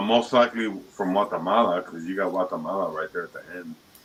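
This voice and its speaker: A man with an American accent speaks at a fairly quick pace in a fairly low pitch, with fairly even intonation, over noticeable background noise. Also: big swings in loudness. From Dominican Republic and Chicago. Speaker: panelist. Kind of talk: casual chat.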